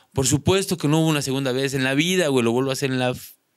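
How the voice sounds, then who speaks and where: Against a quiet background, a man with a Mexican accent speaks with ordinary pitch variation. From Mexico. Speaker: content creator, prank video maker; content creator. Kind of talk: casual chat. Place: studio. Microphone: studio mic.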